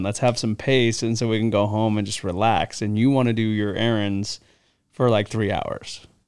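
An ordinary speaking voice from a man at a medium pitch and moderate pace, with fairly even intonation, in a very clean recording with a silent background. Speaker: baseball player. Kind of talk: casual chat. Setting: video recording.

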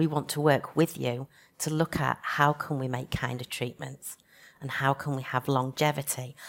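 A woman with a Yorkshire accent at a moderate pace, very deep and low in pitch, monotone and flat, on a very clean recording with a silent background. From Leeds, northern England. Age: 40s. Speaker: physiotherapy lecturer and cancer patient. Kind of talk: panel talk at a conference.

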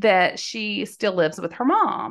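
A woman talks with a Southern US accent. Her tone is warm and animated. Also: quiet background. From Mississippi. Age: 50s. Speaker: podcast host and life coach. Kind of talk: solo podcast storytelling.

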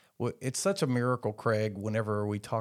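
Here a man speaks with a fairly low pitch. He moves at a fairly quick pace. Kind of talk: interview with scripted intro and outro.

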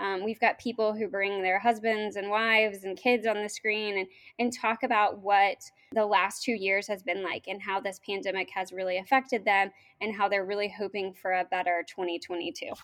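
A woman speaks in a plain, everyday voice at a moderate pace. Her intonation is fairly even, on a very clean recording with a silent background. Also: medium pitch for a woman. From Oklahoma, US (Norman). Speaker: state tourism official. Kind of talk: interview.

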